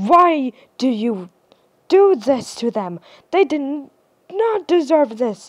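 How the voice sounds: Using a put-on character voice, a woman speaks at a high pitch and a slow pace, with big pitch swings.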